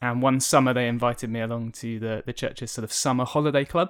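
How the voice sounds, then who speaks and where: Medium pitch from a man with a southern English accent and fairly even intonation, in a very clean recording with a silent background and a dry, close sound with no echo. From southern England, Kent. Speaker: charity communications and media worker. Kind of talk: interview testimony. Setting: office recording, face to face.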